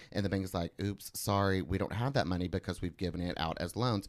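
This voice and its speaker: Here a man speaks at a fairly low pitch. His intonation is fairly even. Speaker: podcast co-host. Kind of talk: casual chat.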